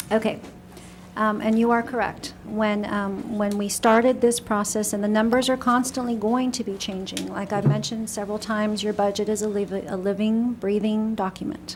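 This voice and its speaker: Soft-spoken, a woman talks at a fairly high pitch in a monotone, flat intonation, with noticeable background noise and audible room echo. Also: moderate pace. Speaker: city finance official. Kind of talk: budget presentation at council meeting. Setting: city council meeting room. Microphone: echo in the room.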